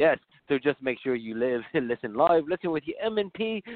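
Intonation in this clip is lively. The speaking speed is moderate. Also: man. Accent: English. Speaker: podcast co-host. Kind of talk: casual, profane.

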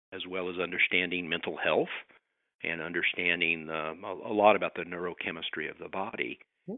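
A man speaks fairly quickly in a very deep, low voice with monotone, flat intonation. His loudness swings widely. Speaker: author and social worker. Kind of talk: casual interview. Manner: conversational, somewhat hesitant with fillers.

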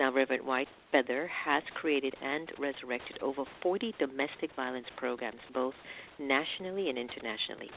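A woman speaks at a fairly quick pace with a very deep, low pitch. Her pitch varies in an ordinary way. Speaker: radio host. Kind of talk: radio interview.

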